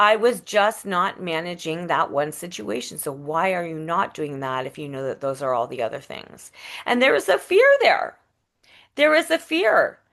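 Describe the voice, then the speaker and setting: A woman speaks at a moderate pace with a fairly low pitch and very wide pitch swings. Her loudness swings a lot, and the background is quiet. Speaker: speaker trainer and retired opera singer. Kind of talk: interview.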